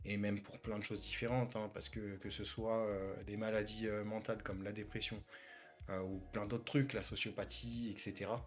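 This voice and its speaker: Music plays in the background as a man speaks at a moderate pace. His fairly low voice stays monotone and flat. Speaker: vlogger sharing personal mental health experience. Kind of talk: personal testimony. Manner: halting, many fillers and repetitions.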